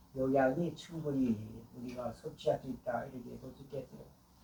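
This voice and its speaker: A man's medium-pitched voice, dark and mellow in tone, somewhat breathy, at a fairly slow pace. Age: 80s+. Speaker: elderly vlogger. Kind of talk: personal monologue. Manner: halting, with filler sounds.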